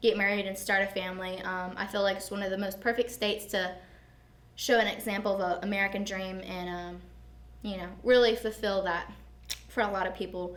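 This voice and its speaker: In a Southern US accent, a woman talks at a fairly quick pace with monotone, flat intonation, and audible room echo surrounds her voice. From US South, Georgia (Atlanta area). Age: 20s. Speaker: student vlogger. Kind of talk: informal presentation. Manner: casual, with frequent fillers.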